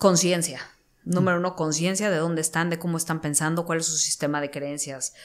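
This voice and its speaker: Monotone, flat intonation from a woman at a fairly low pitch and a fairly quick pace, with a quiet background. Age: 30s. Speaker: entrepreneur and mindset coach; mindset coach. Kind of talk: interview. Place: studio. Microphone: studio mic.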